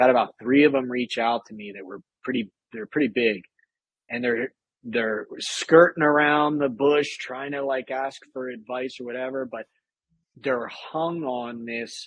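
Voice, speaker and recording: A plain, everyday voice speaks at a fairly slow pace. Its pitch variation is ordinary. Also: man. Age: 30s. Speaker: military veteran and author. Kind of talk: casual chat.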